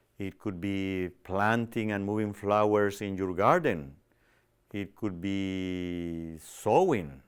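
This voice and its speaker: A man with a non-native accent speaks at a very slow pace in a very clean recording with a silent background. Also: fairly low pitch for a man, ordinary pitch variation. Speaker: TV show host on personal growth. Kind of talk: inspirational self-help talk. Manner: hesitant, many fillers.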